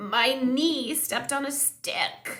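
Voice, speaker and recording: Raising and projecting her voice, a woman performs a put-on character voice pitched high. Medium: read story.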